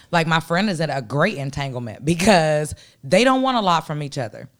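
On a very clean recording with a silent background, a woman with a very deep, low voice sounds animated, her pitch swinging very widely. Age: 30s. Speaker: podcast co-host. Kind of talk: casual chat. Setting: studio.

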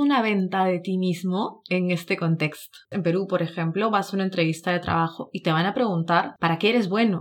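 A woman's medium-pitched voice sounds animated and has ordinary pitch variation. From Peru. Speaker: podcast co-host, student in Japan. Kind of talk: casual chat. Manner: animated, laughs often.

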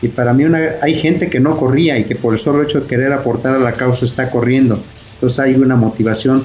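A man talks at a fairly quick pace with fairly even intonation. There is noticeable background noise. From Mexico, raised in Mexico City (born Michoacán). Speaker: amateur runner. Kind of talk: casual interview. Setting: video call.

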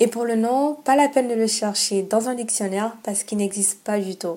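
A woman's dark, mellow tone at a moderate pace. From Gabon. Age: 20s. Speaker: podcast host. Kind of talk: personal monologue introduction.

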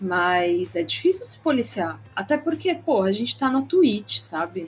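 A woman's somewhat breathy, fairly high voice at a fairly slow pace, with very wide pitch swings. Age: 20s. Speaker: streamer. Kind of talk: casual live-stream interview.

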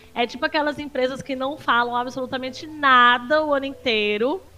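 A woman's high, raised, projected voice with a bright, sharp tone. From Northeast Brazil, Paraíba. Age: 30s. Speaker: streamer and social media analyst. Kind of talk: casual chat.

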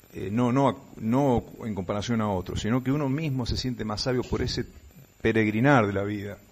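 Here is a normal speaking voice: a man at a moderate pace, medium in pitch, with ordinary pitch variation. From Buenos Aires province, Argentina (Morón, western Greater Buenos Aires). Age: 60s. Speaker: tour guide and radio announcer. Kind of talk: radio interview. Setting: remote connection from another province.

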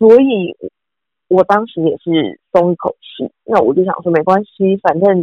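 A woman speaks at a fairly slow pace in an unremarkable speaking voice. Her pitch is medium, with ordinary variation. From Taiwan. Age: 30s. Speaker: former TV news journalist and anchor. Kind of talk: casual interview.

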